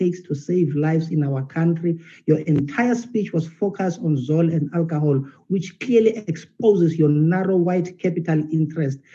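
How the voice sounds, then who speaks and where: A man with a South African accent talks at a moderate pace, his pitch high with ordinary variation. His tone is dark and mellow. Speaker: ruling party member of parliament. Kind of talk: parliamentary oratory, rhetorical and defensive. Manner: emphatic, declamatory, animated.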